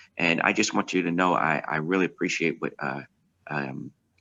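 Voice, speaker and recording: Vocal fry runs through a man's very deep, low voice, which holds fairly even intonation. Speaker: pastor. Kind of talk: virtual town hall remarks. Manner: fast.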